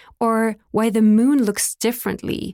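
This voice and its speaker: At a moderate pace, a woman speaks in a very clean recording with a silent background and a dry, close sound with no echo. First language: German and French. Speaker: podcast founder and host. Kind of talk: scripted narration.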